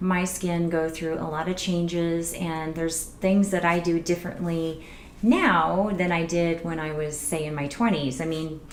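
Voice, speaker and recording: A soft-spoken woman with a fairly low voice and monotone, flat intonation at a fairly slow pace, amid audible room echo and noticeable background noise. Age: 40s. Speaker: beauty vlogger. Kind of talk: casual tutorial vlog.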